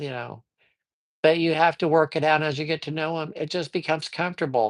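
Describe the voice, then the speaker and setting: Moderate pace in a very clean recording with a silent background. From Colorado. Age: 60s. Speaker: tarot reader livestreamer. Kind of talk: casual live-stream talk. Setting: live stream. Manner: hesitant, many fillers.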